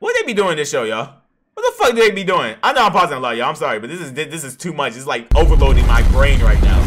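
Talking very fast, a man is heard with music in the background. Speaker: streamer reacting to anime. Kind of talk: casual reaction commentary. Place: home room. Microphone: headset.

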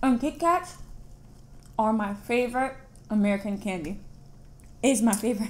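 A woman speaks with a fairly high pitch, somewhat breathy, at a moderate pace. Her intonation is lively, and she leaves long, frequent pauses. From United States. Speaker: YouTube vlogger. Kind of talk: casual chat. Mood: playful, animated reactions. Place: home room. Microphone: camera far.

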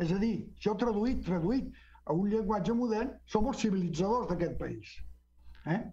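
Speaking at a fairly slow pace, a man with a high pitch and a dark, mellow tone shows ordinary pitch variation. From Mexico, Guadalajara, Jalisco. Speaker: historian; interview guest. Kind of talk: book presentation talk. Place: home room. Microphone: video call.

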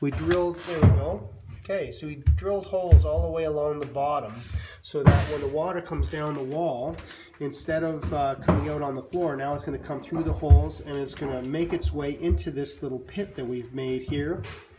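A man keeps a fairly quick pace while loud noise fills the background. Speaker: drainage contractor. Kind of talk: tutorial. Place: home room. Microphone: phone near.

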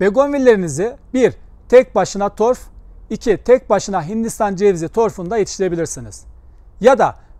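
A high-pitched man with a dark, mellow tone and ordinary pitch variation, in a dry sound with no echo against a quiet background. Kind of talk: tutorial. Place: garden.

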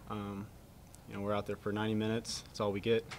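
A man's fast, monotone delivery, flat in intonation and fairly low in pitch

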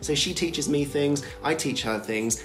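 A man talks with ordinary pitch variation while clear music sounds in the background. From Britain. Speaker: vlogger. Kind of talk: casual talk to camera. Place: home room.

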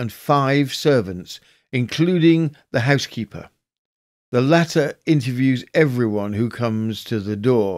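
A man with a medium-pitched, unremarkable speaking voice talks at a fairly slow pace with lively intonation in a very clean recording with a silent background. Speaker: podcast host. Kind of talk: scripted true-crime historical narration, reading newspaper excerpts. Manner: measured, formal, storytelling delivery.

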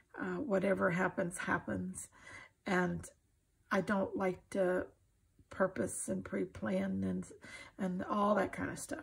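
A woman with an American accent, medium pitch, little pitch movement, a husky, rough edge, vocal fry and a slow pace

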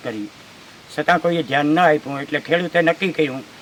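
A man at a fairly high pitch over noticeable background noise. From Junagadh district, Saurashtra, Gujarat. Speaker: farmer. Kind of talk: on-site news interview. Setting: outdoors, riverbank.

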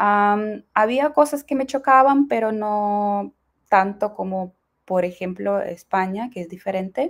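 Against a quiet background, a woman speaks very slowly at a medium pitch with lively intonation. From Ukraine. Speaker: Spanish translator and language learner; interview guest. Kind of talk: interview. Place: home room. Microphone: video call.

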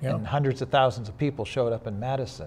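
Somewhat breathy, a man speaks with ordinary pitch variation over light background noise. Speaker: interview guest. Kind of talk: interview answer. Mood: relaxed, occasional laughs. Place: studio. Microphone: lapel.

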